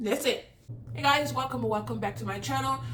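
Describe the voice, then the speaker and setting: Over noticeable background noise and audible room echo, a woman speaks in an animated tone. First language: not English. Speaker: YouTuber, celebrity commentator. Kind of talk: casual vlog commentary.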